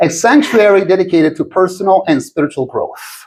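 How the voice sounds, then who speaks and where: With an Italian accent, a man speaks in a calm tone at a high pitch and a moderate pace. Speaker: podcast host. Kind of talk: scripted introduction.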